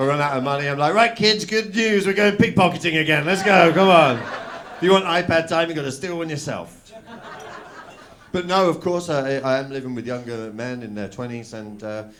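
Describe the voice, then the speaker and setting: Speaking at a fairly quick pace with a southern English accent, the voice shows very wide pitch swings and big swings in loudness, with noticeable background noise and audible room echo. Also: man, fairly high pitch for a man. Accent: southern English, noticed in Manchester. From southern England, Oxford. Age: 30s. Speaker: stand-up comedian. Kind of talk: stand-up. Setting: stage with audience.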